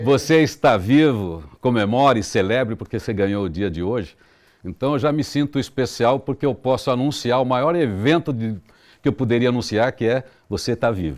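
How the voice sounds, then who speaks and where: On a very clean recording with a silent background, a man uses an ordinary speaking voice at a medium pitch, moving at a moderate pace with lively intonation. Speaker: radio announcer. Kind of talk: interview answer.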